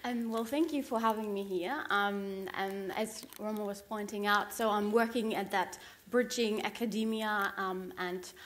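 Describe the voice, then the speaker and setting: A woman's fairly high voice with a German accent, ordinary pitch variation and audible room echo. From Germany. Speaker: academic. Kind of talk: panel self-introduction. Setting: conference stage with audience. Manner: hesitant with many ums.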